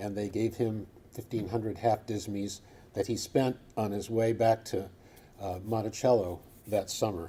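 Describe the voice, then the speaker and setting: A man's dark, mellow, somewhat breathy voice with a Midwestern American accent, monotone and flat, at a moderate pace. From Michigan. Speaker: coin researcher. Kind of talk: lecture.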